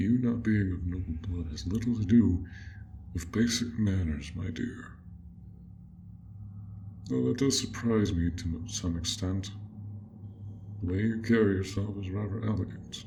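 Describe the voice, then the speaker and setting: A man's put-on character voice, fairly low in pitch, at a moderate pace with long, frequent pauses and clear background noise. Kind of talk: audio role play. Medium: role play. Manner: soft-spoken, polite.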